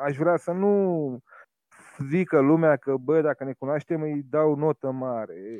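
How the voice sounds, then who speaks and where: At a very slow pace, a man talks in a fairly high voice. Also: ordinary pitch variation. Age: 40s. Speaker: humor blogger and short prose writer. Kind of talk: podcast interview.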